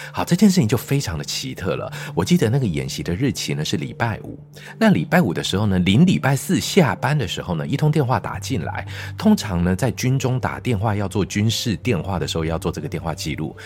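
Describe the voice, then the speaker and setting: A man's fairly low voice with very wide pitch swings, a dramatic tone and a fairly quick pace over background music. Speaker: teacher and science show host. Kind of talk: storytelling in casual chat. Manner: dramatic storytelling delivery.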